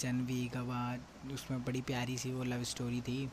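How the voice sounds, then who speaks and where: A man's somewhat breathy voice. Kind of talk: casual personal message to a friend.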